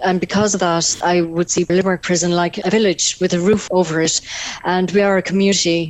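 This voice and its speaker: A woman with a Tipperary accent talks at a fairly quick pace in a monotone, flat intonation with very even loudness. Noticeable background noise runs under her voice. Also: fairly low pitch for a woman. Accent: Irish (Tipperary). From Ireland, North Tipperary. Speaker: prison chaplain. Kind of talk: radio interview.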